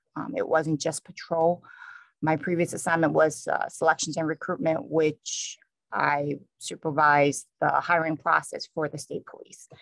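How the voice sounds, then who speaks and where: Someone with an American accent speaks at a moderate pace with fairly even intonation. The sound is dry and close with no echo. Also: woman. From New York City. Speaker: state police trooper. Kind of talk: conference talk.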